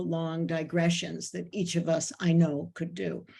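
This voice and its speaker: A woman's somewhat breathy voice, fairly low in pitch, dark and mellow in tone, monotone and flat in intonation, at a moderate pace. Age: 70s. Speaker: moderator and festival historian. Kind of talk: panel discussion moderation. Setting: video call. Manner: informal.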